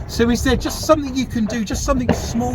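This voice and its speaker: A man speaks amid noticeable background noise, with audible room echo. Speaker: paranormal investigator. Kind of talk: ghost hunt spirit box session.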